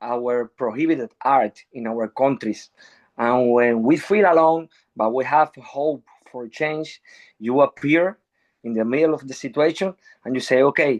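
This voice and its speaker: A man with a Spanish accent, medium pitch and a fairly slow pace over a quiet background. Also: ordinary pitch variation, dry, close sound with no echo. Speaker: musician. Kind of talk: panel discussion. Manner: halting.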